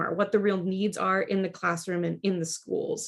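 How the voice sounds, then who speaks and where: Fairly quick speech from a woman in a Midwestern American accent, with fairly even intonation. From Kansas, Wichita. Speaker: education presenter. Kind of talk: lecture. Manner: fast.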